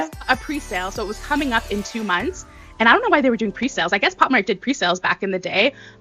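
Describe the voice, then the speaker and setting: A woman's fairly high voice at a very fast pace, with very wide pitch swings and music in the background. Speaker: unboxing YouTuber. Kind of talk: interview answer. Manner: calming.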